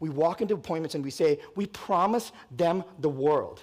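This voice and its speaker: A man is speaking. His tone is energetic. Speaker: real estate company president. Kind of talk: conference talk. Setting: stage with audience. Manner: fast.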